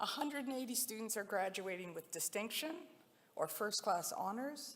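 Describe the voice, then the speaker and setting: Lively intonation from a woman pitched fairly high, moderate in pace, with background noise noticeable behind her. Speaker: university leader addressing graduates. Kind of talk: ceremonial speech. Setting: convocation ceremony with audience.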